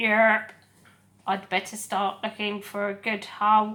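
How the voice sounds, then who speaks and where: A woman puts on a croaky character voice at a medium pitch. Her intonation stays monotone and flat. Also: fairly slow pace. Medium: read story. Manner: terse, laconic.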